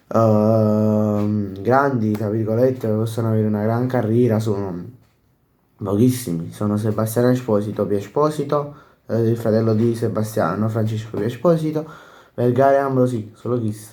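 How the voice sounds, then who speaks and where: A man's dark, mellow tone, fairly even in intonation, with audible room echo. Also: medium pitch for a man, moderate pace. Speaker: football YouTuber. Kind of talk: casual post-match commentary. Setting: home at night, others sleeping. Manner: speaking quietly, softer than usual; halting, many fillers.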